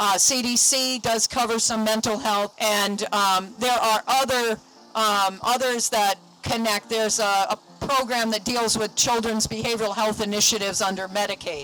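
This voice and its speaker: In a New England accent, a woman speaks with very even loudness. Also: fairly high pitch for a woman, fairly even intonation, moderate pace. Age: 50s. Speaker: mental health counselor. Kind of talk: speech at a rally.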